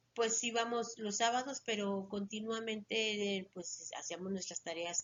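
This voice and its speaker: Over noticeable background noise, a woman talks fairly slowly at a medium pitch with monotone, flat intonation. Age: 60s. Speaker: retired schoolteacher. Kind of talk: interview.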